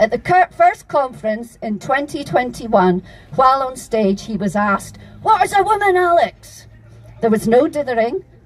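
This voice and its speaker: With a Scottish accent, a woman speaks at a fairly slow pace with lively intonation. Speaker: activist speaker. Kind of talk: public speech at a rally. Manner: impassioned.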